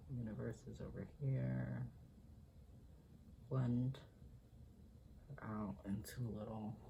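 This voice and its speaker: Soft-spoken delivery moves at a very slow pace. Long pauses come often. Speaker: drag performer. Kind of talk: ASMR makeup tutorial talk.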